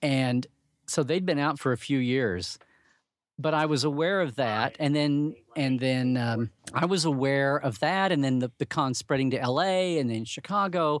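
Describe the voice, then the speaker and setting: A man with an American accent in an ordinary speaking voice, fairly high in pitch with ordinary variation, at a moderate pace and very even loudness, in a very clean recording with a silent background. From Oklahoma, US. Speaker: Star Trek blogger and convention regular. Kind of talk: casual interview chat.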